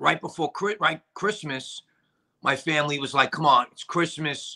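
Against a quiet background, a man with a strong Brooklyn accent talks in a bright, sharp tone with ordinary pitch variation. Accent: strong Brooklyn New York. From New York. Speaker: actor and director; actor. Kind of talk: casual interview chat. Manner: halting, many fillers. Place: home room. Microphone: video call.

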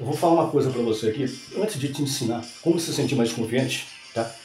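Faint music and audible room echo surround a man's voice. His pitch varies in an ordinary way. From Brazil. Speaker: announcer, TV presenter. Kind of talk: motivational talk. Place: home room.

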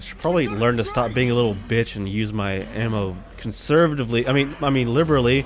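Very fast speech from a man over noticeable background noise. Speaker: gamer. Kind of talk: casual gameplay commentary. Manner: casual, rambling, halting.

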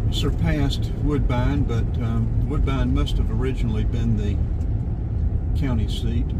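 Loud background noise accompanies speech at a very slow pace. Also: man. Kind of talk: casual driving commentary. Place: car.

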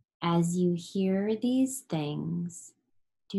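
Somewhat breathy and soothing, the voice moves at a very slow pace with a calm tone and ordinary pitch variation. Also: woman. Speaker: yoga nidra teacher. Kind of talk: guided meditation. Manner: slow, soothing, calm, gently paced; soft, hypnotic cadence with long pauses.

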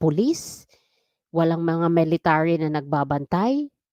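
A woman with an unremarkable speaking voice talks at a moderate pace in a fairly low pitch. The recording is very clean and dry, close with no echo and a silent background. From Philippines. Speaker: OFW vlogger, former election inspector. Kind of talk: solo vlog commentary.

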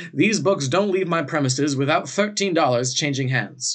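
The background is quiet. A man speaks at a moderate pace with ordinary pitch variation. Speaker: tutor reading a novel aloud. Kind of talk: reading aloud. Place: home room. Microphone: webcam.

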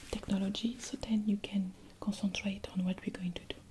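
A soft-spoken woman with a gentle tone, monotone, flat intonation and a fairly quick pace, over noticeable background noise. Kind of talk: ASMR roleplay talk to viewer. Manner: soft-spoken, gentle ASMR voice. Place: home room.

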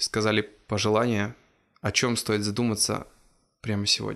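A man's speech moves along fairly quickly, and the background is quiet. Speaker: podcast host. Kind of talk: interview. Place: studio. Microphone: lapel.

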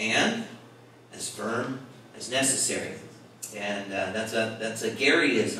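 Audible room echo and light background noise accompany a man talking at a moderate pace. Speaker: pastor teaching a Bible study. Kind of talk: sermon. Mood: warm, light humor. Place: church.

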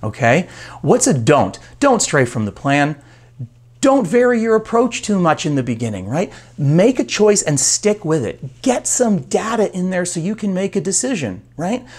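Here a man talks at a moderate pace, his pitch swinging very widely. The background is quiet. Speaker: coach. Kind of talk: motivational talk to camera. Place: office. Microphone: lapel.

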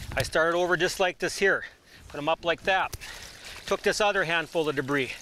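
The speech holds a moderate pace with ordinary pitch variation. Light background noise sits under a dry sound with no echo. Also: man. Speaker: professional trapper. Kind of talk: outdoor how-to demonstration. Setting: outdoors. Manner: casual, conversational. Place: waterside.

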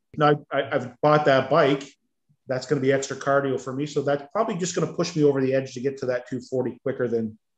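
Speaking very fast in a fairly high voice, a man keeps his intonation fairly even, with audible room echo and a quiet background. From Ontario, Canada. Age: 50s. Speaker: weight-loss coaching client. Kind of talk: casual interview. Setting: video call. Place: home room. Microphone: video call.

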